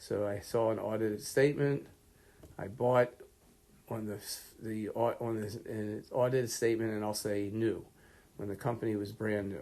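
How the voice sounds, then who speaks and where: At a moderate pace, a man speaks with a dark, mellow tone, a fairly low pitch and fairly even intonation. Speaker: lecturer. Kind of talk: lecture. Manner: casual, conversational.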